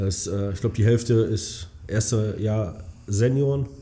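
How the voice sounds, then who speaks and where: The man's voice is fairly low in pitch, somewhat breathy, and dark and mellow in tone. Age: 30s. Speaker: amateur football club chairman. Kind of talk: casual interview.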